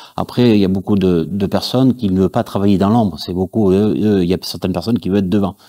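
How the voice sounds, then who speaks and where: Against a quiet background, a man with a fairly low pitch and a dark, mellow tone speaks at a very fast pace with fairly even intonation. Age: 40s. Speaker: church audiovisual volunteer. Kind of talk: testimony. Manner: halting, many fillers. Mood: earnest, faith testimony. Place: studio.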